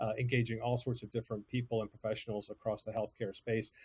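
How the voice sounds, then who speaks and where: In an American accent, a man speaks at a very fast pace with a medium pitch, monotone, flat intonation and a somewhat breathy voice, recorded dry and close with no echo. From United States. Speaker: podcast agency CEO. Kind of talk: presentation. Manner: hesitant, many fillers.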